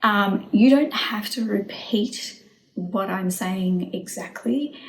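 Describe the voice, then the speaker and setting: Speaking at a very slow pace with a medium pitch, a woman is heard over noticeable background noise. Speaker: EFT and manifestation coach. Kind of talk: tutorial. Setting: home video recording. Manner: casual, spontaneous.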